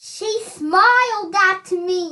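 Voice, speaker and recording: This is a woman using a put-on character voice. Her pitch is extremely high. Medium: read story. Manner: gloomy.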